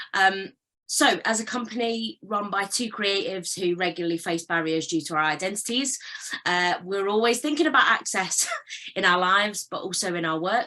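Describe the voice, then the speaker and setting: A woman talks at a moderate pace and medium pitch. She has an unremarkable speaking voice with ordinary pitch variation. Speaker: creative director and performer. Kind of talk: panel talk.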